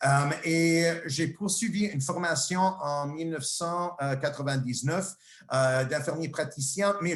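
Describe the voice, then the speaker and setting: With noticeable background noise around him, a man talks at a very slow pace. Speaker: nursing professor and researcher. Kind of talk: lecture. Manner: halting, many fillers and repetitions.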